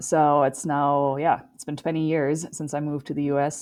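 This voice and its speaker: A woman's very deep, low voice with a slight German accent. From Germany. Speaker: endurance athlete. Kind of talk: podcast interview.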